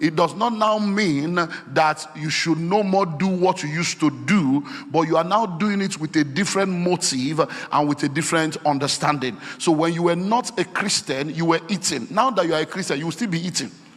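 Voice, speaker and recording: The voice shows ordinary pitch variation, and noticeable background noise can be heard along with it. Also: man, high pitch for a man, moderate pace. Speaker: preacher. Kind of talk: sermon.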